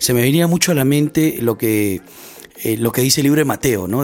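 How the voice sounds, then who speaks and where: A man at a fairly quick pace, ordinary pitch variation, and noticeable background noise behind him. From Peru, Lima (Barranco). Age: 30s. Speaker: podcast host, church missions volunteer. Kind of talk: casual chat.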